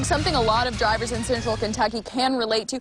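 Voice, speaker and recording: A woman's fairly high voice with an American accent, fairly even intonation and noticeable background noise. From Kansas. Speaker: TV news anchor and reporter. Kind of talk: TV news field reporting.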